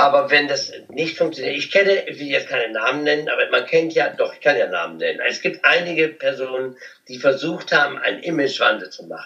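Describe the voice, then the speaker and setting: A man talking at a fairly quick pace, big swings in loudness, over noticeable background noise. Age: 50s. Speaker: cabaret artist and comedian. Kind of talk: interview.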